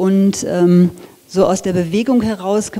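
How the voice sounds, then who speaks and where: The woman talks with intonation that holds fairly even. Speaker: design lecturer. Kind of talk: lecture. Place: hall. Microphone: handheld.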